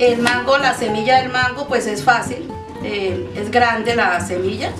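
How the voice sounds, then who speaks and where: Over loud music in the background, a woman speaks at a fairly slow pace. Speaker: home cook host. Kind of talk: cooking tutorial chat. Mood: warm, cheerful, nostalgic. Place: kitchen.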